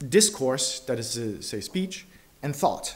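A man's somewhat breathy voice moves at a moderate pace with very wide pitch swings. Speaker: conference speaker. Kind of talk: lecture. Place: hall.

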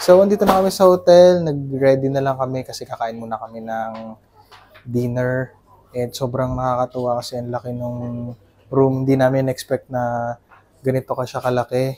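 At a moderate pace, a man speaks with big swings in loudness and ordinary pitch variation over light background noise. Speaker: travel vlogger. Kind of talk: casual vlog chat. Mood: excited, pleased. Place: home room. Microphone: lapel.

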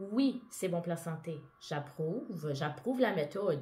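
A woman's fairly slow speech in a Quebec accent, with very wide pitch swings. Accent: Québécois French. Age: 30s. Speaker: vlogger. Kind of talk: personal monologue vlog. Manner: casual. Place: home room. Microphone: earbuds.

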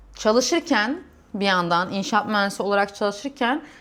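A woman talks at a moderate pace. The recording is very clean with a silent background. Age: 30s. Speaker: civil engineer and vlogger. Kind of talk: personal vlog monologue. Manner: hesitant, many fillers.

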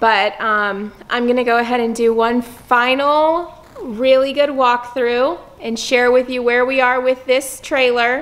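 Her pitch is high. The woman speaks at a fairly slow pace. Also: fairly even intonation. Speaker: vlogger. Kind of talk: casual vlog chat. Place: workshop. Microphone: phone near.

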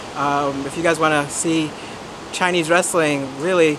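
This man speaks at a fairly slow pace with monotone, flat intonation over noticeable background noise. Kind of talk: interview answer. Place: street.

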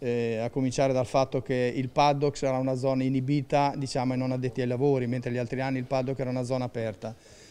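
A man talks at a very fast pace with hardly any pauses. His dark, mellow tone stays monotone and flat. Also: medium pitch for a man. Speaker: race event organizer. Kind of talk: interview.

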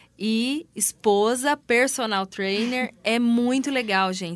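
A woman speaks at a fairly slow pace with ordinary pitch variation. Hers is a plain, everyday voice. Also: big swings in loudness. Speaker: radio host. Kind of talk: radio interview. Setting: radio studio. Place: studio.

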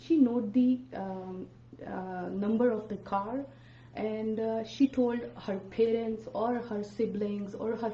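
The voice carries audible room echo with light background noise behind it. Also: woman. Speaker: radio guest. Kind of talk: interview answer. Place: studio.

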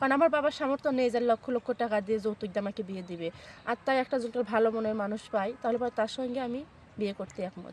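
The woman has an unremarkable speaking voice at a fairly high pitch. Her pitch variation is ordinary. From Bangladesh, Sirajganj. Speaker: woman seeking a marriage match. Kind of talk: interview testimony.

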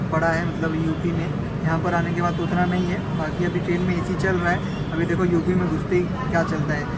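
Music plays in the background while a man speaks at a moderate pace. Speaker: travel vlogger. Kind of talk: casual vlog chat. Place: train. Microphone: phone near.

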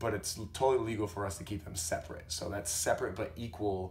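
Background noise is noticeable as a man speaks. His pace is moderate and his pitch varies in an ordinary way. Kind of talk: casual talk to camera.

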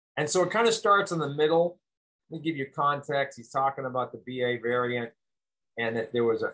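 A man at a fairly quick pace, lively intonation, quiet background. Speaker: health educator. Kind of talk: commentary. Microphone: webcam.

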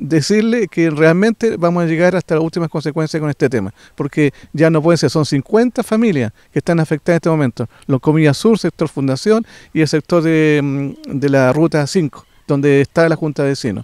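A man's fairly high voice with lively intonation at a moderate pace, dry and echo-free, over a quiet background. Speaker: community representative. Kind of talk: interview. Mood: indignant, complaining. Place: garden. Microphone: handheld.

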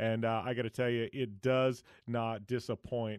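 Over a quiet background, a man speaks in a dry sound with no echo. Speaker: podcast host. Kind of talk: podcast intro monologue. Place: studio.

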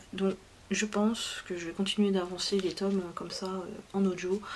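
At a fairly slow pace, a woman speaks in a monotone, flat way over light background noise. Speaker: book reviewer. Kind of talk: casual vlog chat. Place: home room. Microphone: phone near.

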